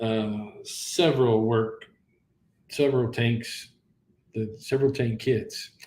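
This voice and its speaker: Long, frequent pauses break up the very slow pace, and the intonation stays fairly even. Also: man, medium pitch for a man. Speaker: live stream host of sci-fi props channel. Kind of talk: live stream wrap-up chat. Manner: halting, stuttering.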